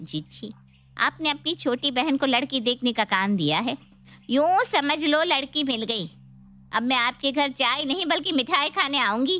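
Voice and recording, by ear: A woman's put-on character voice, high-pitched with a bright, sharp tone, lively intonation and a fairly slow pace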